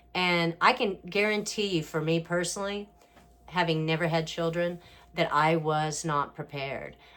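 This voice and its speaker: A woman with an American accent has a plain, everyday voice, fairly low pitch, and ordinary pitch variation. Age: 60s. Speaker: family caregiver, former beauty pageant winner. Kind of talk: casual talk to camera.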